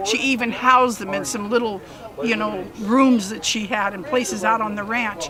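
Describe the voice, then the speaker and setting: Over noticeable background noise, a woman talks with lively intonation at a fairly high pitch. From Pinole, California (San Francisco Bay Area). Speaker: long-time resident. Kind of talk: oral history interview.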